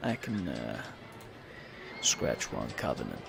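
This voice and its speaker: Loud background noise surrounds a man doing a put-on character voice. It sounds guttural and moves at a fairly slow pace. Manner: gruff.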